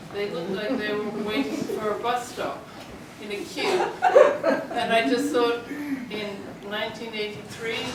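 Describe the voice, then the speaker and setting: Audible room echo and noticeable background noise surround the speaker. She is a woman with a fairly high pitch. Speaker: artist. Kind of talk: artist talk. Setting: gallery with audience, no microphone.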